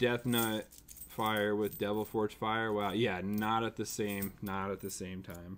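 A man speaks at a fairly slow pace with little pitch movement. His voice is fairly low in pitch, with a fairly bright tone.

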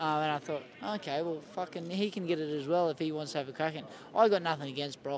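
A man with an Australian accent talks at a very fast pace with fairly even intonation and a fairly high pitch. The sound is dry with no echo, and there is light background noise. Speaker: professional boxer. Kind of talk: casual interview. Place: stadium.

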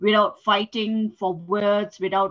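A woman's somewhat breathy voice against a quiet background. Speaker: English tutor. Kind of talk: online English lesson. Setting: video call. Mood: instructive, encouraging. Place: home room. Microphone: headset.

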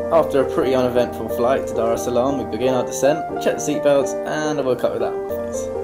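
A man talking at a very fast pace with hardly any pauses, music playing in the background. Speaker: travel vlogger narrating. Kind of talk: narrated travel vlog commentary.

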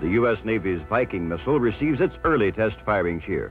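The speech moves at a fairly quick pace over clear background music. The sound is dry, with no echo. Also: man. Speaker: documentary narrator. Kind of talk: documentary narration. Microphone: old recording.

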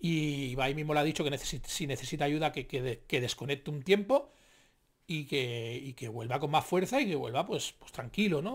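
Somewhat breathy, fairly high male voice with an animated tone, ordinary pitch variation, a fairly quick pace and a quiet background. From Spain. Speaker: youtuber commentator. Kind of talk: casual commentary monologue; reading news article aloud. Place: home room.

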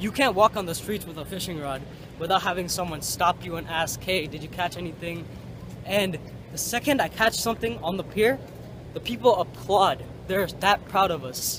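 At a fairly quick pace, a man with a high pitch and ordinary pitch variation speaks with big swings in loudness, the sound dry with no echo and noticeable background noise behind him. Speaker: fishing vlogger. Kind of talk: casual vlog chat. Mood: happy, enthusiastic. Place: street. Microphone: phone near.

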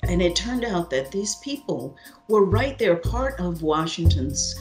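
Music sounds faintly behind the voice. A woman speaks at a moderate tempo. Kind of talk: interview answer. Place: home room. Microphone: webcam.

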